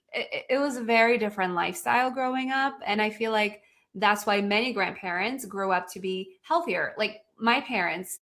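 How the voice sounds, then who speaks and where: A woman with a slight Polish accent speaks at a moderate pace with hardly any pauses, in a bright, sharp tone and fairly high pitch, in a very clean recording with a silent background. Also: ordinary pitch variation. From Poland. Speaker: podcast host. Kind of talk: casual interview chat.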